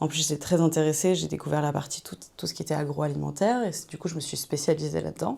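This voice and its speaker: A woman talks at a very fast pace, with hardly any pauses. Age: 30s. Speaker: author coach, digital nomad. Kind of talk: interview. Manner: hesitant, many fillers.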